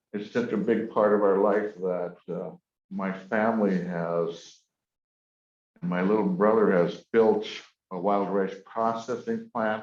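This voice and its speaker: A very slow pace with fairly even intonation. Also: man. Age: 70s. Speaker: Ojibwe elder and storyteller. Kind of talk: storytelling talk.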